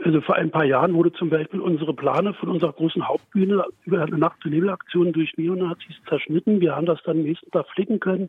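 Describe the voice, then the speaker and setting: Talking at a very fast pace with hardly any pauses, a man with a Berlin accent uses a high pitch. His intonation stays fairly even. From Berlin area, Germany. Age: 50s. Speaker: pride association volunteer. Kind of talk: radio interview. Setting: remote line to studio.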